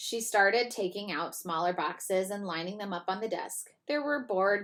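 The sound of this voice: Pitch varies in an ordinary way through an unforced reading voice. Behind it, the background is quiet.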